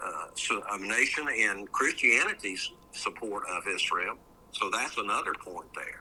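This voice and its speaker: A man talks at a fairly slow pace. Noticeable background noise runs under the recording. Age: 70s. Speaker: judge and faith commentator. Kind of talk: interview. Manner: halting, many fillers and repeats.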